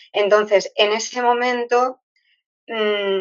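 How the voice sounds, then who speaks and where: A woman's voice at a very slow pace. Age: 60s. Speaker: retired teacher. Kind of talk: interview. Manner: hesitant, with many fillers.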